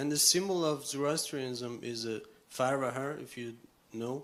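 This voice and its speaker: A man's medium-pitched voice with fairly even intonation, big swings in loudness and audible room echo. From Iran. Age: 30s. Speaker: audience member. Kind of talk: Q&A question.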